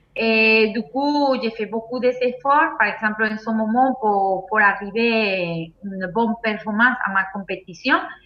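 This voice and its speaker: This woman speaks with a Spanish accent at a fairly slow pace. Her pitch sits fairly high and shows ordinary variation. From Venezuela. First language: Spanish (speaking French). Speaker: sambo world champion athlete. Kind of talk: casual interview. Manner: halting. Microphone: laggy connection.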